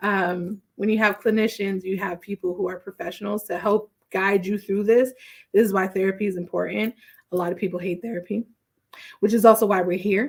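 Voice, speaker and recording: A woman has an unremarkable speaking voice at a medium pitch. She speaks at a moderate pace with fairly even intonation. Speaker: therapist. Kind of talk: casual livestream talk.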